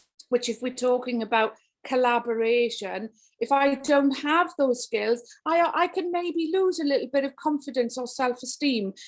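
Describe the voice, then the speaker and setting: A high-pitched woman's voice in a Welsh accent, at a moderate pace with ordinary pitch variation, in a very clean recording with a silent background. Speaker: education speaker. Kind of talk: keynote talk. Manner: animated.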